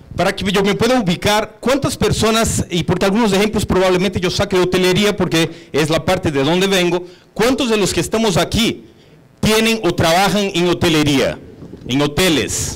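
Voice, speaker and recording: A man's high voice with a Brazilian accent, moderate pace, ordinary pitch variation and very even loudness. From Brazil, São Paulo (born in Bolivia). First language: Portuguese (speaking Spanish). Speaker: hotel executive. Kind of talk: conference talk.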